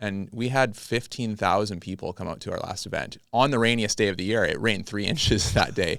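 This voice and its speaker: An ordinary speaking voice from a man, fairly low in pitch with ordinary pitch variation, at a fairly quick pace with hardly any pauses, on a very clean recording with a silent background. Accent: Canadian. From British Columbia, Canada. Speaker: farmer and podcast host. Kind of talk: casual interview. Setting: podcast studio.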